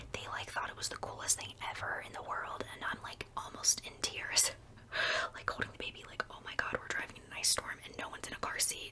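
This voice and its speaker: Whispering at a fairly quick pace, a woman's loudness swings widely over noticeable background noise. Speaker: ASMR creator. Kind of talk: whispered ASMR storytime. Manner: whispered; chatty, rambling.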